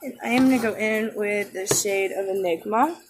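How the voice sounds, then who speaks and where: The speech is quiet and fairly slow, with ordinary pitch variation. Music plays in the background. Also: woman. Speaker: beauty vlogger. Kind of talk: makeup tutorial. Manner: casual.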